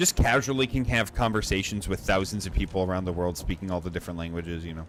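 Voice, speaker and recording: Very deep and low in pitch, a man speaks with an American accent. His pace is very fast and his pitch variation ordinary. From United States. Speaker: gaming streamer. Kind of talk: casual chat. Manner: casual, filler-heavy.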